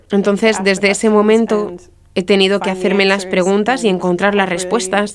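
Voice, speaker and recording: Against noticeable background noise, a woman speaks at a moderate pace with very even loudness and monotone, flat intonation. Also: medium pitch for a woman. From US Midwest, Marshfield, Wisconsin. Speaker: guest sharing faith story. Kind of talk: testimony.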